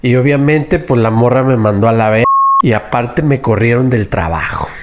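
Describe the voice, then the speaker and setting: Noticeable background noise sits under a man whose medium-pitched voice shows ordinary pitch variation. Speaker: anonymous listener sharing a story. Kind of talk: recorded testimony. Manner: casual slangy.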